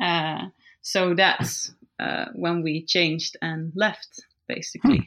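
A woman speaks at a very slow pace with a Dutch accent. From Netherlands. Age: 20s. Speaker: cycle traveller. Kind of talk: casual interview.

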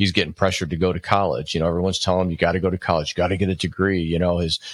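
A man speaks with a very deep, low pitch and fairly even intonation. The sound is dry and close with no echo, on a very clean recording with a silent background. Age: 50s. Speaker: business owner and author. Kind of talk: interview.

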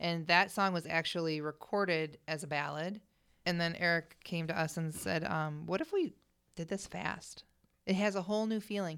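Using a normal speaking voice, a woman with an American accent talks at a moderate pace with a fairly low pitch and fairly even intonation. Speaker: singer. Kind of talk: casual chat. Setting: studio.

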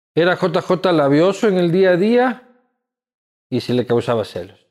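Over a silent background on a very clean recording, a man with a high pitch talks at a fairly slow pace, his pitch swinging very widely. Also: long, frequent pauses. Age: 30s. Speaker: podcast host. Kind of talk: casual interview chat.

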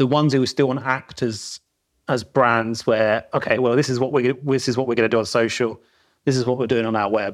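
In a South London accent, a man speaks at medium pitch with monotone, flat intonation against a quiet background. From South London, England. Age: 40s. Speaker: retail creative. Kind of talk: casual interview. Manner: informal, filler words.

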